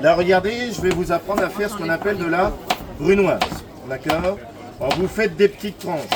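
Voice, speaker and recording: A man with a high voice speaks fairly quickly in an animated tone, with ordinary pitch variation, big swings in loudness and long, frequent pauses, over noticeable background noise. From Brittany, France. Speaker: market demonstrator. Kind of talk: sales pitch.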